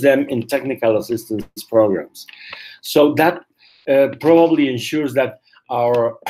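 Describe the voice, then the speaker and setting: A man with a Spanish accent speaks at a moderate pace in a fairly high voice with ordinary pitch variation. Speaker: community health advocate, webinar presenter. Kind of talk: webinar presentation. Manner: halting, with frequent fillers.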